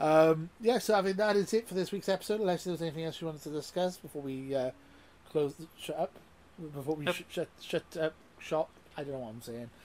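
Here a man talks at a very fast pace with big swings in loudness. His voice is fairly high, with ordinary pitch variation. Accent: British. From UK. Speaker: gaming podcast host. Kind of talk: casual chat. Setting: video call.

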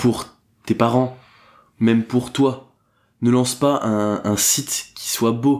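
The man speaks at a medium pitch with fairly even intonation and a very slow pace. His recording is very clean, with a silent background. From northern France (Dunkirk). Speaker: entrepreneur. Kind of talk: casual interview.

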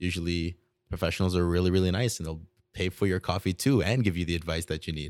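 Speaking at a fairly quick pace, a man uses a very deep, low pitch and fairly even intonation. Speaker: student podcast co-host. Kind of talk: casual chat. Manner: halting.

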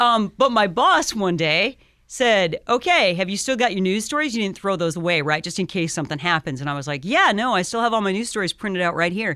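Bright and sharp in tone, a woman with an American accent talks at a medium pitch and a fairly quick pace with lively intonation and hardly any pauses, on a very clean recording with a silent background. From Iowa. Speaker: radio station manager. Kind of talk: casual interview chat. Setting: radio studio.

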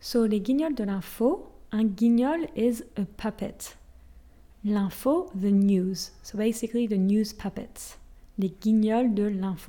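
Very slowly, a woman speaks in a fairly high, dark, mellow voice that is somewhat breathy, with ordinary pitch variation. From France. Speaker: French language teacher podcaster. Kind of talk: language lesson. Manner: switches between French and English explanations.

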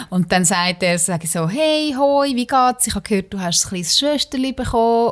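A woman's plain, everyday voice, at a moderate pace with lively intonation. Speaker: podcast host. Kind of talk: casual chat.

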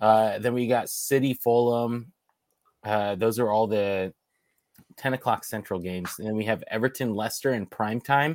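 A man's medium-pitched voice, a plain, everyday voice, with fairly even intonation at a moderate pace. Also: very clean recording, silent background. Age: 30s. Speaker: soccer podcast co-host. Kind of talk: casual chat.

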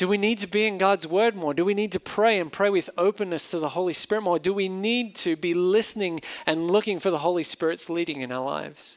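Australian-accented speech with ordinary pitch variation and hardly any pauses. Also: man, high pitch for a man, fairly quick pace. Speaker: pastor. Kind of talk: sermon. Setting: church.

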